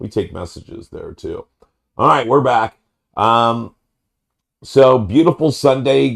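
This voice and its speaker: This man talks at a very slow pace with vocal fry. Long pauses come often. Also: medium pitch for a man, lively intonation. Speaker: podcast host. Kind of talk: casual chat. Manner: hesitant with fillers.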